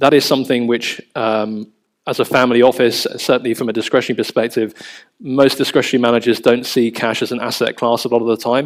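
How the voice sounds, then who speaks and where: A man with a London accent speaks at a fairly quick pace in monotone, flat intonation. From London, England. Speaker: family office managing director. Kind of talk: panel discussion. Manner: hesitant, many fillers.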